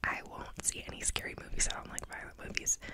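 Soft-spoken and whispering, a woman talks at a very fast pace over loud background noise. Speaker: ASMR creator. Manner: soft close-mic ASMR whisper. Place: home room. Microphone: studio mic.

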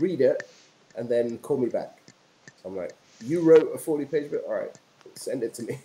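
A man with a British accent at a moderate pace, with long, frequent pauses. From England, London. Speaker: entrepreneur and filmmaker. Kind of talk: interview. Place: home room. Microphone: video call.

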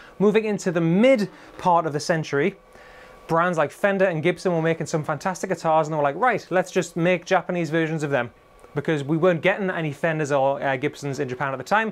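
Upbeat and enthusiastic in tone, the speaker talks at a very fast pace in a Geordie accent with ordinary pitch variation. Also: man, high pitch for a man. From Newcastle area, northern England. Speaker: guitar retailer presenter. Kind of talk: scripted-style educational video monologue. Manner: upbeat, enthusiastic. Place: shop.

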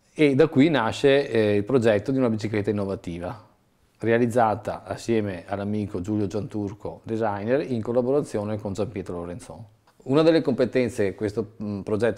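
In a quiet background, a man speaks with a fairly low pitch and a dark, mellow tone. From Treviso, Veneto, northern Italy. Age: 40s. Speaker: bicycle entrepreneur, former car salesman. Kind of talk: video interview presentation. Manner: hesitant with frequent fillers. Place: home room. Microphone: lapel.

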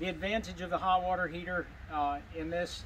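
The man keeps to a moderate pace while noticeable background noise carries on around him. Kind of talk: tutorial. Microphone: camera far.

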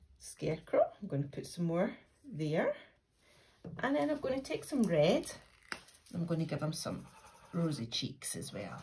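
A woman speaks at a moderate pace. She takes long, frequent pauses. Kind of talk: craft tutorial. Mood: friendly, warm. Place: home room. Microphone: phone near.

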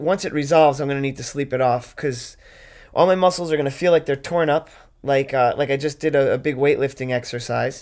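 The man speaks at a fairly quick pace with a tired tone and fairly even intonation. Behind him, the background is quiet. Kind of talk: interview answer. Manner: tired, weak voice from bed. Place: home room.

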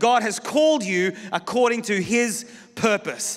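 A man's voice at an extremely high pitch. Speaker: pastor preaching. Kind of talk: sermon. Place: church. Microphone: handheld.

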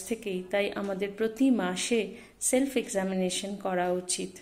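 This woman's voice sits at a fairly high pitch. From West Bengal, India. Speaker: journalist, breast cancer survivor. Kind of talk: awareness message to camera. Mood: warm, encouraging. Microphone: phone near.

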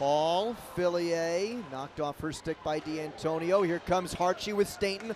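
Noticeable background noise fills the recording. Through it, a man speaks at a fairly slow pace. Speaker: play-by-play announcer. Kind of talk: live commentary. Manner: excitable on goals.

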